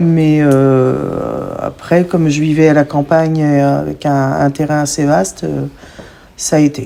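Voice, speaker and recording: A woman's very deep, low voice at a very slow pace. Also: fairly even intonation. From Picardy, northern France. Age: 40s. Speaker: podcast guest, mother. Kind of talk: testimony. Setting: in-person podcast recording.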